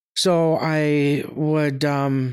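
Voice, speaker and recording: Recorded dry and close with no echo, a woman speaks in a very deep, low voice. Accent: American. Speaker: ice cream stand owner. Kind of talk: interview. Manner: halting, many fillers.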